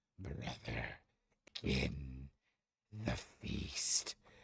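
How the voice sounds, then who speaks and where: Here a man performs a put-on character voice. It sits at a very deep, low pitch. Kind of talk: tabletop game storyteller acting a character. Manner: gruff, menacing.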